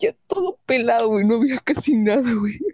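With a Mexican accent, a woman speaks at a fairly slow pace in a fairly high pitch, her intonation lively and her tone animated, in a dry, close sound with no echo. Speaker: podcast host. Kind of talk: casual chat.

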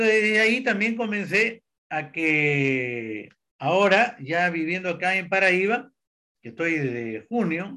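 Bright and sharp in tone, a man's high voice moves with lively intonation. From Peru. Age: 70s. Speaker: alternative therapist. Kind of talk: interview.

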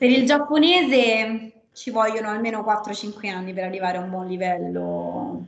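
A normal speaking voice moves at a fairly slow pace with hardly any pauses. It has lively intonation and big swings in loudness. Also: woman, fairly high pitch for a woman. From Rome, Italy. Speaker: aerospace systems engineer. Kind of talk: online panel talk.

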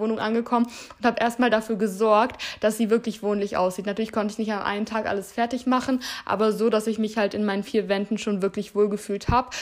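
A woman's fairly high voice at a very fast pace. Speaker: podcast host and influencer. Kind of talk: solo advice monologue. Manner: animated.

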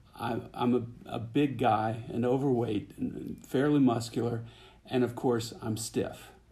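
A man's medium-pitched voice in a dark, mellow tone at a very slow pace, with audible room echo. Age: 60s. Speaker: software consultant, resort guest. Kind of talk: interview.

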